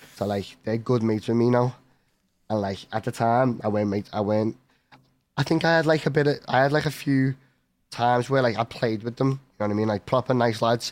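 Talking at a fairly quick pace, a man speaks with a Liverpool accent. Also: medium pitch for a man, ordinary pitch variation. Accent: Scouse. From Liverpool, England. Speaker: esports professional gamer. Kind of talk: casual interview.

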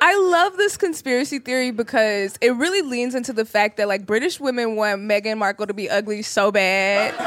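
Over noticeable background noise, a woman with a fairly high voice talks at a fairly quick pace with lively intonation and hardly any pauses. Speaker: podcast host, comedian. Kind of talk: casual chat. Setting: stage with audience.

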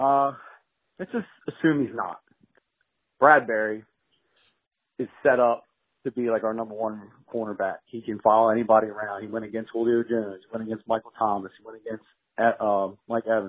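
A man at medium pitch talks at a fairly quick pace with fairly even intonation, big swings in loudness, and long, frequent pauses. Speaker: caller. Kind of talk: voicemail question. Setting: phone voicemail. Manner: frustrated.

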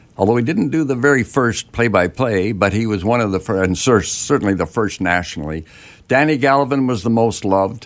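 A man's plain, everyday voice with a Canadian accent, medium pitch, lively intonation and a fairly quick pace. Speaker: retired hockey broadcaster. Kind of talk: radio interview. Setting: studio.

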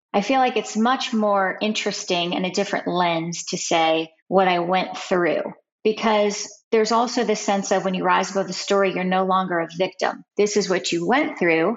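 A woman with an American accent speaks in an ordinary speaking voice at a moderate pace, her medium pitch showing ordinary variation. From Ohio, US. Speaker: writer, former criminal defense lawyer. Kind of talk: interview.

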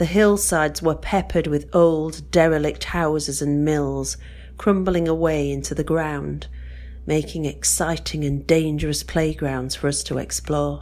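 Moving at a fairly slow pace, this woman talks with an English accent. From northern England, West Yorkshire. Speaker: listener submitting a story. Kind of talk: reading aloud.

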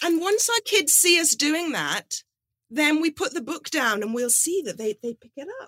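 High, bright and sharp, a woman's raised, projected voice at a moderate pace, with very wide pitch swings and big swings in loudness. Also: dry, close sound with no echo. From Nigeria (Lagos). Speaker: children's author. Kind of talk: interview.

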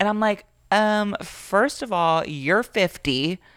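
A woman speaks with an American accent. Her tone is animated and her intonation lively. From Florida. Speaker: podcast guest. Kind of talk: casual chat.

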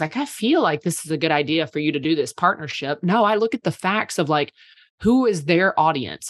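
In a quiet background with a dry, close sound and no echo, a woman with an ordinary speaking voice talks at a fairly low pitch and a fairly quick pace. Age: 30s. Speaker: PR agency owner. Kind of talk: casual chat.

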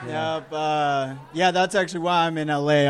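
Noticeable background noise sits behind a man with an American accent and a fairly high pitch. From eastern Oregon. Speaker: amateur comedian. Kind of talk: stand-up. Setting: stage with audience.

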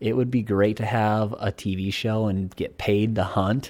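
A man talks in an ordinary speaking voice, fairly low in pitch with fairly even intonation, at a fairly slow pace. The recording is very clean, with a silent background. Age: 30s. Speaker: outdoor filmmaker and producer. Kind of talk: casual interview.

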